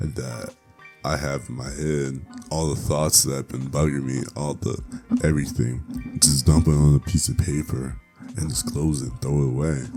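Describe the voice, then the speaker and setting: With music playing in the background, a man speaks at a moderate pace in a very deep, low voice with ordinary pitch variation. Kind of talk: casual talk to camera. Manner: casual, blunt, profane.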